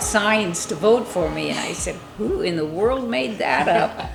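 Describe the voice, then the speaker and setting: Music plays in the background as a woman with an American accent talks. She keeps a moderate pace with ordinary pitch variation. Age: 80s+. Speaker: small-town mayor. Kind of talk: interview answer.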